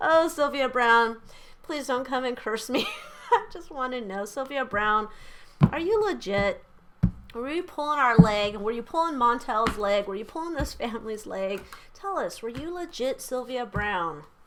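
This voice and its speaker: A woman puts on a raspy character voice with a high pitch. She talks at a moderate pace. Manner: pleading, spooked.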